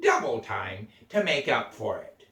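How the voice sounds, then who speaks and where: A man in a put-on character voice at a fairly slow pace. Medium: read story.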